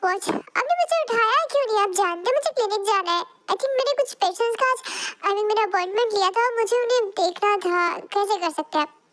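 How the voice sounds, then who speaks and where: A put-on character voice moves at a fairly quick pace with ordinary pitch variation. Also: woman, extremely high pitch for a woman. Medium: read story. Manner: soft, hesitant.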